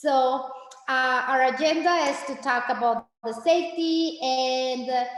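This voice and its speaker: A woman's high voice in a Spanish accent, fairly slow, with ordinary pitch variation and audible room echo. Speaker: Spanish teacher. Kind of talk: informational meeting presentation. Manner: animated; halting.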